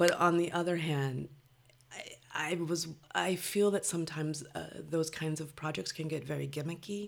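A woman speaks in an American accent at a moderate pace. Her voice is very deep and low. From Los Angeles (Compton), California. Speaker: poet. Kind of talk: interview.

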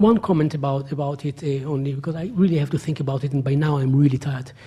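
A man with an Israeli accent speaks at a fairly high pitch with ordinary pitch variation. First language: Hebrew. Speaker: academic, historian. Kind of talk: public lecture with Q&A. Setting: lecture hall with audience.

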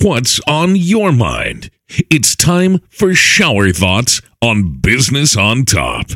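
In a put-on character voice, a man booms at a very slow pace with a medium pitch, very wide pitch swings and very even loudness. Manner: enthusiastic, showy.

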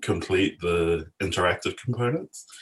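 A man's very deep, low, somewhat breathy voice moves at a fairly slow pace with fairly even intonation over a quiet background. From New Zealand, South Auckland (Samoan community). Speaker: filmmaker and visual artist. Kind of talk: interview conversation.

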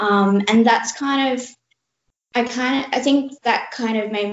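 At a moderate pace, the speaker talks in an Australian accent. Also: woman. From Australia (born India, lived in Canada until three). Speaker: youth cancer charity ambassador, cancer survivor. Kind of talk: interview. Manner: halting.

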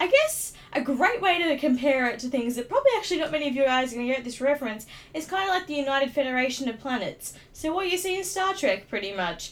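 A woman speaks with an Australian accent. Her high voice moves through very wide pitch swings. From Australia, Sydney (Darlinghurst). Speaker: podcaster. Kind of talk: casual monologue. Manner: halting, many fillers.

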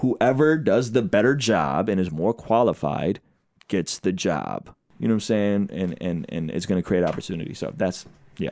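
An ordinary speaking voice belongs to a man with a fairly low pitch. He keeps a moderate pace and lively intonation. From Azerbaijan (Baku), raised in US from childhood. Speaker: hip-hop artist and spoken word poet. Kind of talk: casual chat.

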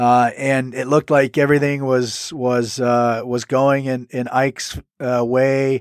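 A man at medium pitch, monotone and flat, with hardly any pauses and a dry, close sound with no echo. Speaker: podcast co-host and analyst. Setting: remote call from Germany. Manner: halting, filler words, repeats.

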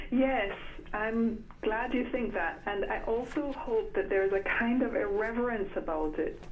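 Noticeable noise sits in the background while the words come at a fairly slow pace. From Jamaica-born, grew up in England. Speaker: novelist. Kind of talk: interview. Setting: phone call. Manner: hesitant, many fillers.

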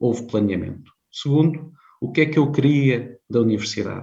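With a dark, mellow tone and a somewhat breathy quality, a man speaks at a moderate pace with ordinary pitch variation, his voice carrying audible room echo. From Portugal, Viseu district (Beira Alta). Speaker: career management consultant, company founder. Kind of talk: interview.

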